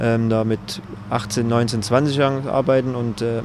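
The speaker keeps a moderate pace and fairly even intonation. There is noticeable background noise, and the sound is dry with no echo. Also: man. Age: 30s. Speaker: professional footballer. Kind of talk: interview answer. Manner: reserved, not loud. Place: open country. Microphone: handheld.

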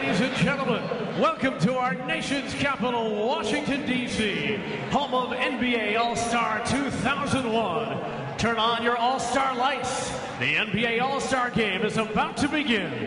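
A man's fairly slow delivery with hardly any pauses, over noticeable background noise. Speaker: public address announcer. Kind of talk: arena public address player introductions. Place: stadium.

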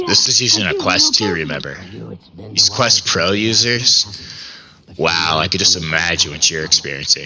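Light background noise sits behind a man with a very deep, low pitch and ordinary pitch variation. He keeps a moderate pace broken by long, frequent pauses. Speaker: VR gaming YouTuber. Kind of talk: casual VR gameplay commentary. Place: home room. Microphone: headset.

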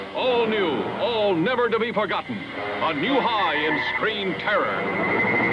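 With music in the background, a man projects a raised, high-pitched voice at a very slow pace, hardly pausing, his intonation lively and his loudness very even. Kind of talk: movie trailer.

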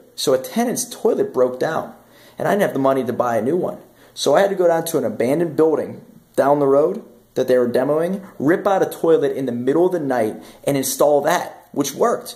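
A man talks at a fairly quick pace with lively intonation. His tone is dark and mellow, and the background is quiet. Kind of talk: casual vlog chat. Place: home room. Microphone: phone near.

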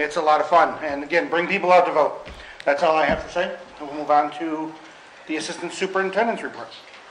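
At a very fast pace and with fairly even intonation, the speaker has an American accent, heard over light background noise with audible room echo. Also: man, fairly high pitch for a man. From Western New York. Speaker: school board president chairing meeting. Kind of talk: formal meeting proceedings. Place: meeting room. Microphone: podium.

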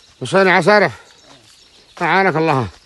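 The delivery comes at a fairly slow pace. The sound is dry, with no echo. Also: man. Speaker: local filming the landscape. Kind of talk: casual outdoor narration to camera. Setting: outdoors. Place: open country. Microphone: phone near.

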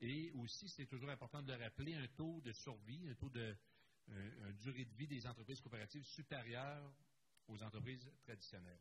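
A man speaks at a fairly quick pace, somewhat breathy. His pitch is medium with ordinary variation. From Quebec. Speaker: conference moderator, accountant; conference speaker. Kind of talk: conference panel presentation. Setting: conference room with live and online audience. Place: hall.

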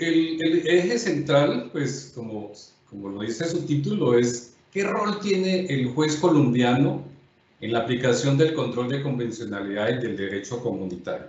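Audible room echo surrounds a voice that moves at a fairly slow pace with very wide pitch swings. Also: man. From Colombia. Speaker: judge and lecturer; judge, lecturer. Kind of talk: lecture. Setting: videoconference. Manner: formal. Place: home room. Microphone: webcam.

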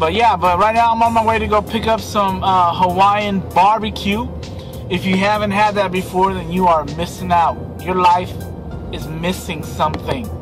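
Clear music plays behind a man who talks at a moderate pace with long, frequent pauses, the sound dry with no echo. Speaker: vlogger. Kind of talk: casual vlog chat. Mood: relaxed, lazy. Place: car. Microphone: phone near.

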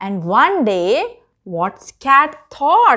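A woman speaks at a very slow pace in a high voice. Her tone is bright and sharp, with big swings in pitch.

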